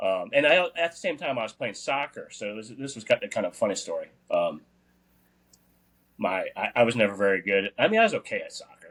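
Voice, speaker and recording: A man with an American accent speaks at a very fast pace, his loudness swinging widely. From US South, outside New Orleans, Louisiana. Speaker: podcast co-host, endurance athlete. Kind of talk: casual chat. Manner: hesitant, many fillers.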